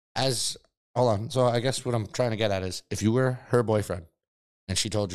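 Ordinary pitch variation and a fairly quick pace in a plain, everyday voice. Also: man. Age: 30s. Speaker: podcast co-host. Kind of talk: casual banter.

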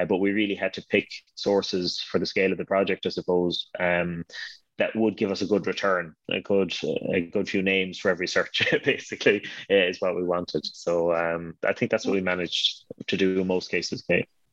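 A man's very deep, low voice in a western Irish accent, fairly quick and monotone, with a dry, close sound with no echo and a quiet background. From Ireland, Connemara, County Galway. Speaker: name studies scholar, dictionary co-author. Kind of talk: interview.

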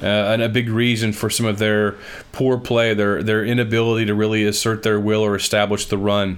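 A man talks at a fairly quick pace in a fairly low pitch. His loudness stays very even. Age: 40s. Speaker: sports podcast host. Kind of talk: sports analysis monologue. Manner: animated.

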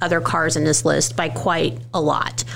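Noticeable background noise runs under this recording. A woman with a very deep, low pitch speaks at a moderate pace. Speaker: podcast co-host. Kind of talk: casual chat.

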